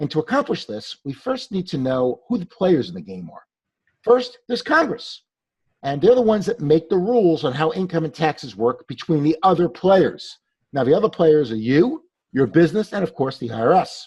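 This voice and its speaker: With a New York accent, a man with a fairly high pitch speaks with very wide pitch swings and big swings in loudness. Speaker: tax attorney and CPA. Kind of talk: webinar presentation. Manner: fast; animated.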